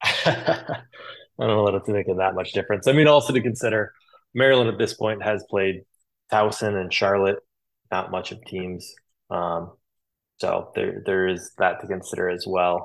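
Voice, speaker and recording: A man's fairly low voice at a moderate pace, with ordinary pitch variation and long, frequent pauses. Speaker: podcast co-host, betting analyst. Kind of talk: casual chat about betting analysis. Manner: halting, filler-heavy.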